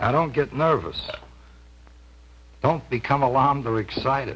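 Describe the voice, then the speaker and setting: Speaking at a medium pitch, a man lets vocal fry into his voice. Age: middle-aged. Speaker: pitchman. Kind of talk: vintage TV infomercial pitch.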